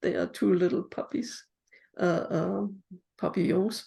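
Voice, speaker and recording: With a German accent, the speaker talks at a very slow pace in a dark, mellow tone with vocal fry. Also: woman. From Germany. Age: 80s+. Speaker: memoir author. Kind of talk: interview.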